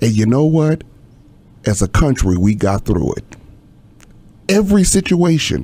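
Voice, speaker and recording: A man with a dark, mellow tone speaks with very wide pitch swings and long, frequent pauses. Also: medium pitch for a man, moderate pace. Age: 60s. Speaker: pastor. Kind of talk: casual chat. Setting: studio.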